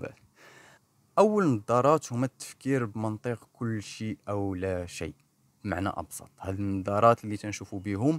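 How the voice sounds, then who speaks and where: The sound is dry and close with no echo. A man speaks fairly low with lively intonation. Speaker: clinical psychologist and therapist. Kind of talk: educational podcast monologue.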